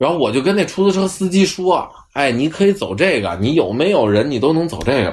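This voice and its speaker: This man speaks with a Beijing accent at a fairly quick pace and a fairly high pitch. His voice has vocal fry and very wide pitch swings. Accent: Beijing Mandarin. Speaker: podcast host, traffic enforcement officer. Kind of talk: casual chat.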